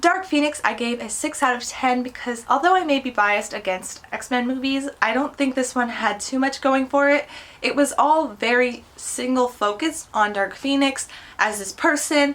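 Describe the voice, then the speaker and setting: A high woman's voice, pitch shifting in the usual way, against clearly audible background noise. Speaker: movie vlogger. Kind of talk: casual movie review monologue. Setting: home recording with computer. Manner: fast.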